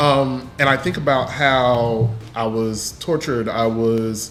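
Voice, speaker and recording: A man's voice with ordinary pitch variation, plus noticeable background noise and audible room echo. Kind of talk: casual group discussion. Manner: halting.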